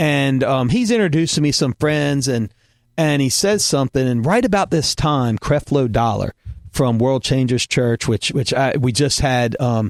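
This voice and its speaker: A man with a Southern US accent talks at a medium pitch and a moderate pace, with ordinary pitch variation. His loudness stays very even, and the sound is dry and close with no echo. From US South. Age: middle-aged. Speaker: podcast host, former pastor. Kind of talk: casual chat.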